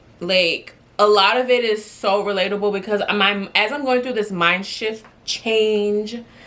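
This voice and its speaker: The speaker's tone is animated, with noticeable background noise behind the voice. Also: woman, medium pitch for a woman, fairly slow pace. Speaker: lifestyle vlogger. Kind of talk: casual talk to camera.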